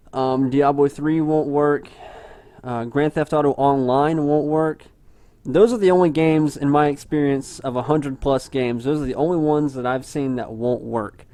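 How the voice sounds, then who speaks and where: In a dry recording with no echo, a man with a fairly high pitch and a dark, mellow tone speaks at a moderate pace with fairly even intonation. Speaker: gaming tutorial youtuber. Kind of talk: tutorial. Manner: casual with many fillers. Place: home room.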